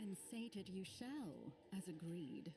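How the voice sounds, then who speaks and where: A female-sounding voice performs a put-on character voice at medium pitch and a fairly slow pace, with clear background noise behind it. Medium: video game. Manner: cold, composed.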